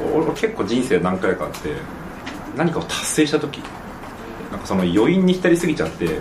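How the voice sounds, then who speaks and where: Against noticeable background noise, a man with a fairly high voice talks at a fairly quick pace, swinging very widely in pitch and pausing long and often. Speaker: preventive medicine researcher. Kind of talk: casual chat.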